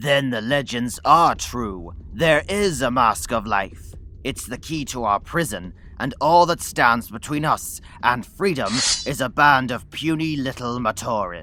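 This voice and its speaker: In a cartoonish character voice, a man talks fairly slowly at a medium pitch, with light noise behind him. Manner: smooth, persuasive.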